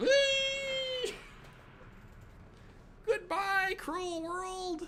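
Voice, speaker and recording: A put-on character voice at an extremely high pitch, with clear background noise. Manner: cheerful, exaggerated falling cry.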